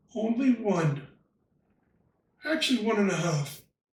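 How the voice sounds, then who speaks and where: A man at a high pitch and fairly slow pace, with audible room echo. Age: 80s+. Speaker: retired lodge member. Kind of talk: interview. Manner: halting.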